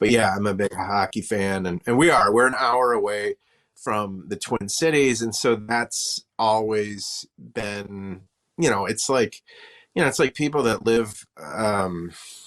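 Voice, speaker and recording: In an Upper Midwest accent, a man with a fairly low pitch talks at a fairly slow pace with ordinary pitch variation, and the recording is very clean with a silent background. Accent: Upper Midwest American. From western Wisconsin, near Eau Claire. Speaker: comedian. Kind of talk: casual chat.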